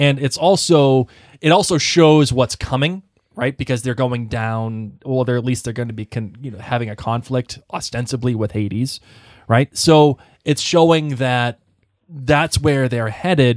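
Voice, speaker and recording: In a very clean recording with a silent background and a dry, close sound with no echo, a man speaks in a plain, everyday voice at medium pitch and a fairly slow pace, with ordinary pitch variation. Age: 40s. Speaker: family member, film production commentator. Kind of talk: casual chat. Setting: studio.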